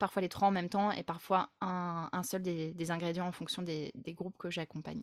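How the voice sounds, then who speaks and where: A woman with a fairly low pitch talks at a moderate pace in a monotone, flat intonation, with hardly any pauses. The sound is dry and close with no echo, in a very clean recording with a silent background. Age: 30s. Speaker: group facilitator. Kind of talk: interview conversation.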